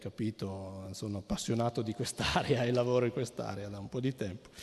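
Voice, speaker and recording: A man talks at a fairly quick pace. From Piedmont, Cuneo. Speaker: anthropologist. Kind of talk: lecture. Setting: stage with audience. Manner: halting.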